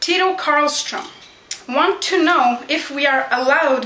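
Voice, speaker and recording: A woman's raised, projected voice with lively intonation, audible room echo and noticeable background noise. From Quebec, Canada (Montreal). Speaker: backyard wrestler. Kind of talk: Q&A vlog.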